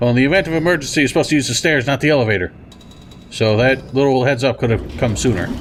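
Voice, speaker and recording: With noticeable background noise behind him, a man talks at a very fast pace with very even loudness. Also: medium pitch for a man, ordinary pitch variation. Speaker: video game let's player. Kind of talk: gameplay commentary. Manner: casual, joking.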